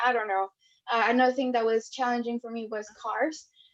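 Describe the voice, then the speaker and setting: Her intonation fairly even, a woman talks with a non-native accent. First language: not English. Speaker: medical school applicant. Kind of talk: panel discussion.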